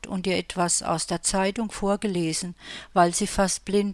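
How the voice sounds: This clip is a natural reading voice.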